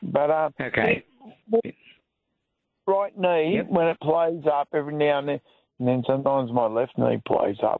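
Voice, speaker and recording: With an Australian accent, a man speaks at a moderate pace and fairly high pitch, with lively intonation, very even loudness and long, frequent pauses. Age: 50s. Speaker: radio caller. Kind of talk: phone-in question. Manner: halting, hesitant.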